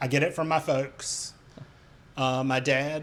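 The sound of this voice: A man with an American accent talks at a fairly high pitch, using ordinary pitch variation.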